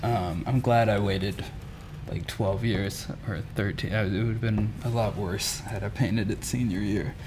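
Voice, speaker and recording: Amid noticeable background noise and audible room echo, a man with an American accent speaks at a fairly low pitch. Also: fairly even intonation. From Mississippi. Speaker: muralist. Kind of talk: interview.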